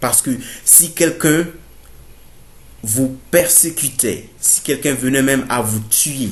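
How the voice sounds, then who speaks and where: A man speaks at a very slow pace and sounds somewhat breathy. Room echo is audible. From Burkina Faso. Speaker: theology student, preacher. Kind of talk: sermon-style bible teaching to camera. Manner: halting, many fillers.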